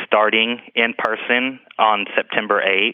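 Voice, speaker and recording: There is noticeable background noise as a man speaks at a fairly slow pace. His medium-pitched voice stays monotone and flat. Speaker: school assistant director. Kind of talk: interview answers. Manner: halting, many ums.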